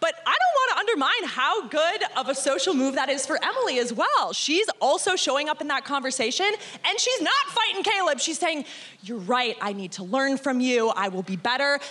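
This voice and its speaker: Over noticeable background noise, a woman with a high pitch speaks in a raised, projected voice at a moderate pace, her tone animated and energetic, her pitch swinging very widely and her speech hardly pausing. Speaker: former Survivor contestant. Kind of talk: casual live chat on stage. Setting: stage with audience. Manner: animated, energetic.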